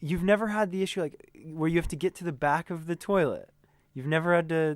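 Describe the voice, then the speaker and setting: In a very clean recording with a silent background, a man with an American accent speaks at a high pitch. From USA. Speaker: band tour manager. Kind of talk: casual interview. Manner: animated.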